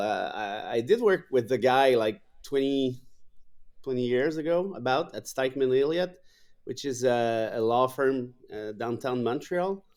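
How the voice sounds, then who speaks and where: In a very clean recording with a silent background, a man of medium pitch speaks at a moderate pace with lively intonation. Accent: Quebec. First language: French. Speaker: law professor and writer. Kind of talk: interview conversation.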